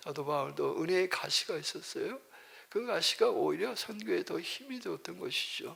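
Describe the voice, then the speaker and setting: A man is speaking. His pace is moderate. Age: 60s. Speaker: missionary pastor. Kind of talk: sermon. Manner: halting, with fillers and restarts.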